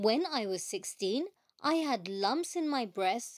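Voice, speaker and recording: A plain, everyday voice with lively intonation, moving at a moderate pace. The recording is very clean and dry, close-miked with a silent background and no echo. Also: woman. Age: 40s. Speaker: podcast host, patient advocate. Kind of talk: personal testimony.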